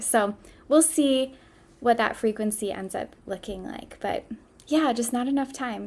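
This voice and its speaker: A woman with a Midwestern American accent, fairly high pitch, fairly even intonation and moderate pace. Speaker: podcast host. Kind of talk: solo podcast talk.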